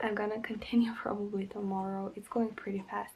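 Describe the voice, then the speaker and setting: A soft-spoken woman talks at a fairly quick pace. Her pitch sits fairly high. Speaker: book vlogger. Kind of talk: casual talk to camera.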